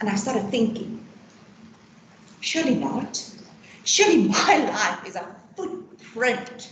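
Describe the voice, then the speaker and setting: Loud and high-pitched, a woman speaks at a fairly slow pace with very wide pitch swings and long, frequent pauses, against noticeable background noise and audible room echo. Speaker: employee benefits consultant. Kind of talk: personal testimony talk. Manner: talkative.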